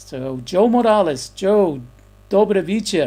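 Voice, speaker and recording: A man speaks with an American accent and lively intonation. His tone is dark and mellow. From Texas. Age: 60s. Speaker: YouTuber and photographer. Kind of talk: casual livestream chat reading viewer comments. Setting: home livestream. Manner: halting, many fillers and repeats.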